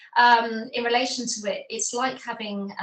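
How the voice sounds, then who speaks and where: The speaker is a woman. Her voice is high-pitched. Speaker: ADHD advocate, corporate professional. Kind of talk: interview. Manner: fast.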